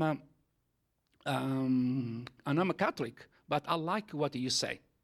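In a very clean recording with a silent background, a man speaks with an Italian accent. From Italy. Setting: church.

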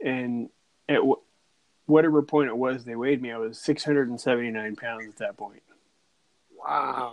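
A man talks at a very slow pace with fairly even intonation. He leaves long, frequent pauses. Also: medium pitch for a man, big swings in loudness. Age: 40s. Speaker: podcast host. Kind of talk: casual chat.

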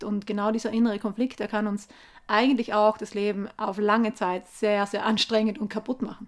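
Her fairly high voice stays monotone and flat as the woman speaks at a moderate pace. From South Tyrol, Italy (Gasteig near Sterzing). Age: 30s. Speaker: environmental activist, author. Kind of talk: interview. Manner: hesitant, with fillers.

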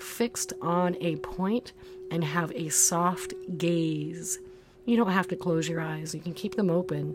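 The voice has a warm, soothing tone and ordinary pitch variation. It moves at a very slow pace over noticeable background noise. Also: woman. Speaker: yoga and meditation teacher. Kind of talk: guided meditation. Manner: slow, soothing, calm and gentle; unhurried, warm, soft-spoken.

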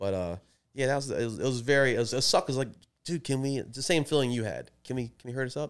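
A man's medium-pitched voice at a very fast pace with ordinary pitch variation, on a very clean recording with a silent background. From Maryland, Baltimore area. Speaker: podcast co-host. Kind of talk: casual chat.

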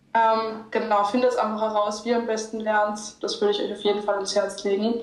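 The voice is monotone and flat, with noticeable background noise and audible room echo. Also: woman. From Austria, Linz. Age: young. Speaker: medical student. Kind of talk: casual interview.

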